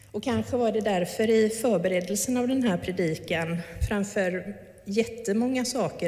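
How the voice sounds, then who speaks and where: A woman speaks at a fairly slow pace with a medium pitch and ordinary pitch variation. Noticeable background noise and audible room echo are present. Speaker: pastor. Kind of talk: sermon.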